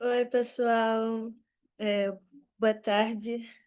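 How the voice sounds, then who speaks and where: Against a quiet background, a woman speaks at a fairly high pitch with fairly even intonation. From Rio de Janeiro, west zone. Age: 20s. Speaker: youth community leader. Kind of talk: panel talk.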